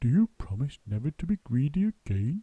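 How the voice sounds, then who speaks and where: A loud, put-on character voice from a man, fairly high in pitch, with very wide pitch swings. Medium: read story. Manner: stern.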